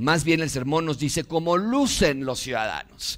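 A man speaks at a moderate pace in a fairly high pitch, his intonation lively. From Mexico. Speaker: pastor. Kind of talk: sermon.

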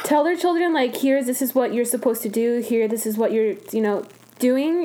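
A fairly high-pitched woman's voice with ordinary pitch variation amid noticeable background noise. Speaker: podcast host. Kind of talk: interview, casual chat.

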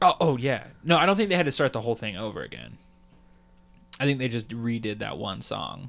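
This man speaks at a fairly quick pace with lively intonation. Vocal fry runs through his voice. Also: medium pitch for a man, big swings in loudness. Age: 20s. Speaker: podcast co-host. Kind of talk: casual chat.

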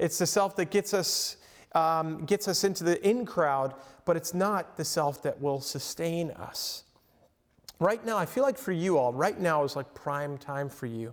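A man with an American accent speaks in a high pitch. His intonation is lively. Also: very clean recording, silent background. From Long Island, New York. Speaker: professor and counselor. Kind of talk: lecture. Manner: casual, halting with repetitions.

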